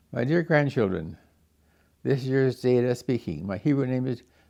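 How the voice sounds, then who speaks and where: A man with a Canadian accent and a dark, mellow tone speaks at a medium pitch and a moderate pace against a quiet background. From Canadian prairies, small town in Alberta. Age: 90s. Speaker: grandfather telling family history. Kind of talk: personal memoir monologue. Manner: halting, with false starts.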